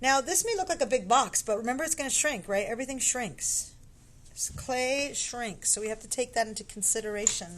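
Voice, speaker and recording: Lively intonation and big swings in loudness come at a fairly quick pace against noticeable background noise. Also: woman, high pitch for a woman. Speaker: pottery teacher. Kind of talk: tutorial. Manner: casual, bilingual English with Spanish asides.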